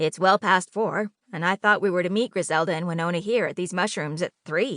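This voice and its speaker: A woman's put-on character voice at a medium pitch and a fairly quick pace. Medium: read story. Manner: grumbling, prim.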